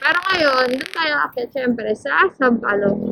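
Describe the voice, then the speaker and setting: A woman talks at a fairly slow pace. Her pitch is high and her intonation lively. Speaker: motovlogger. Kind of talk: ride vlog narration. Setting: riding a motorcycle outdoors. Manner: loud today. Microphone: helmet mic wiring, sometimes quiet.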